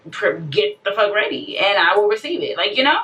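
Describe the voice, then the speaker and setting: Noticeable background noise is present throughout. Over it, a woman talks. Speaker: vlogger. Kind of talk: emotional rant to camera. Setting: self-recorded video.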